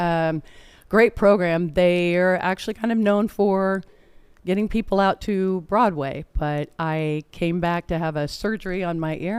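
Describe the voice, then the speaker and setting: In an American accent, the speaker shows ordinary pitch variation. The background is silent and the recording very clean. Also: woman. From Indiana. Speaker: actress, singer and comedian. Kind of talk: interview. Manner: soft-spoken.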